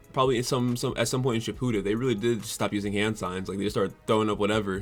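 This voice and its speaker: Over music in the background, a man talks at a very fast pace in an upbeat tone at a medium pitch. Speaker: anime reaction YouTuber. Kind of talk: casual talk to camera. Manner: casual, upbeat.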